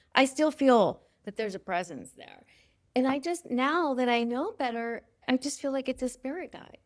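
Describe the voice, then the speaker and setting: With big swings in loudness, a woman speaks at a high pitch and a moderate pace, her pitch varying in an ordinary way, on a very clean recording with a silent background. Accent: American. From US West Coast, Los Angeles County. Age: 50s. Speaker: life coach and intuitive advisor. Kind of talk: interview conversation.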